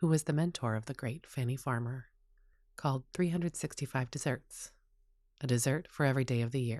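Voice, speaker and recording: In a very clean recording with a silent background, a woman with a very deep, low pitch and a dark, mellow tone speaks at a moderate pace. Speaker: chef and storyteller. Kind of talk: podcast introduction.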